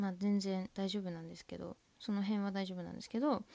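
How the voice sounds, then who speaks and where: Woman with a Tohoku accent, medium pitch and moderate pace, on a very clean recording with a silent background. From Tohoku, Japan. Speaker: student podcaster. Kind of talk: casual monologue. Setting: at home, window open.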